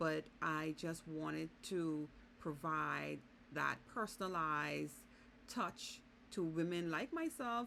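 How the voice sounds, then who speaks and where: In a Bahamian accent, a woman speaks at a very slow pace with very even loudness. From Bahamas. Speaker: vlogger and business consultant. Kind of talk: casual vlog monologue.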